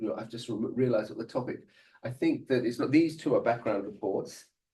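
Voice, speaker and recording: A man talks at a fairly quick pace with an English accent. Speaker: ontology researcher giving a guest lecture. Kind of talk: lecture. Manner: fast; halting, many fillers and restarts.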